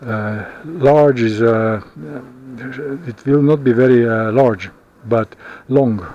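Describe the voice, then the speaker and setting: Amid noticeable background noise, a man of medium pitch with a non-native accent speaks at a very slow pace, with ordinary pitch variation and long, frequent pauses. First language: not English. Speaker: vlogger. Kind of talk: casual vlog monologue. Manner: halting, many fillers.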